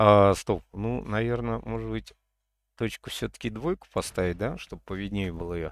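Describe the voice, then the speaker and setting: Against a quiet background with a dry sound and no echo, a man talks at a moderate pace in a fairly low pitch with ordinary pitch variation. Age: 50s. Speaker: gaming streamer. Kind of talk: gameplay livestream chat. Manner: animated.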